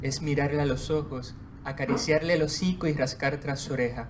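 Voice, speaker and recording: Fairly high, somewhat breathy male voice with ordinary pitch variation at a moderate pace, in audible room echo. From Puerto Rico, Juana Díaz. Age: 20s. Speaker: poet. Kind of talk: book presentation with poetry reading. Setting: bookstore event with audience.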